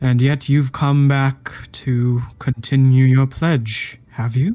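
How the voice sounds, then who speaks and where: Using a put-on character voice, a man of medium pitch speaks at a very slow pace. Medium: actual play. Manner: formal, devoted.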